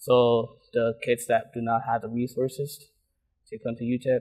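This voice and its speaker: A man speaks. The background is quiet. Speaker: program staff member. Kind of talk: casual interview answer. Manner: halting. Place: hall. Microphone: lapel.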